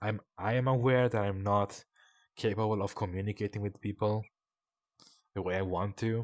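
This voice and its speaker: A man with a non-native accent, fairly low in pitch, in a monotone with flat intonation. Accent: non-native accent, noticeable. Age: 20s. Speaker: streamer. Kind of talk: personal confession stream. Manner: halting, long pauses.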